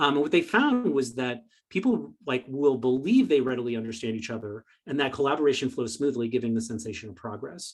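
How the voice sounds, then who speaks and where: A man speaks at a fairly quick pace, his medium pitch showing ordinary variation. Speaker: presenter. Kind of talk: lecture. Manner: fast.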